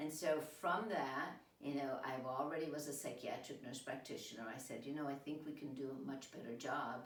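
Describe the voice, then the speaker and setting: A woman's very deep, low voice at a moderate pace, with fairly even intonation and audible room echo. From Italy. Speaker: entrepreneur, nurse practitioner. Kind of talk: interview.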